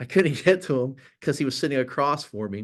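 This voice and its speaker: A man talks at a very fast pace in an animated tone. The background is quiet. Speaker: creative agency presenter. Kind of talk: talk to an audience.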